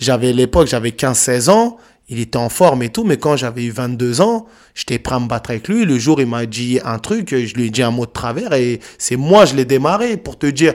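A man's normal speaking voice at a medium pitch, with ordinary pitch variation and a moderate pace. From Paris suburbs, France. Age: 30s. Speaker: youth anti-violence speaker, author, former prisoner. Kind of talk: testimony.

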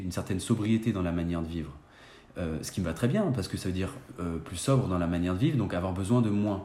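Ordinary pitch variation runs through a man's very rapid talking. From France, Saint-Étienne. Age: 30s. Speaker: independent consultant. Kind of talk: interview.

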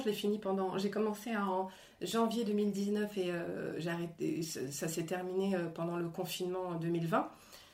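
Audible room echo surrounds a woman's voice. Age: 40s. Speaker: actress and screenwriter. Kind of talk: interview. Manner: animated; halting.

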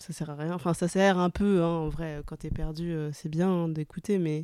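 On a very clean recording with a silent background, a woman speaks at a very deep, low pitch in a dark, mellow tone, fairly slowly and with monotone, flat intonation. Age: 20s. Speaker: photographer. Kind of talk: casual chat. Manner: hesitant.

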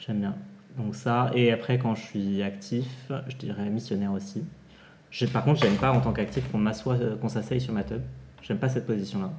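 A man with a fairly low, somewhat breathy voice speaks at a moderate pace with lively intonation and long, frequent pauses. Audible room echo surrounds the recording. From France, Essonne. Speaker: podcast host, adult content creator. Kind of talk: casual chat.

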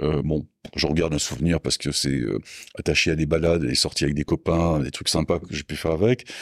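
Very deep and low, a man's voice carries vocal fry and ordinary pitch variation at a fairly quick pace, with a dry, close sound and no echo. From southwest France, Landes. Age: 60s. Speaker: motorcycle parts business owner. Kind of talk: casual interview. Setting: company premises.

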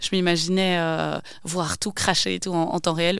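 A woman with a Belgian accent speaks with a fairly low pitch and fairly even intonation on a very clean recording with a silent background. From Belgium, Wavre (Walloon Brabant). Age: 30s. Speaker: entrepreneur. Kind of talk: interview. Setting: studio.

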